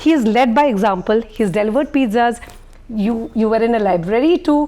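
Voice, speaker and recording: A woman's fairly high voice with a dark, mellow tone and lively intonation. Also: very even loudness. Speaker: journalist moderating fireside chat. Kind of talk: fireside chat interview. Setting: stage with audience at book launch. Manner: loud.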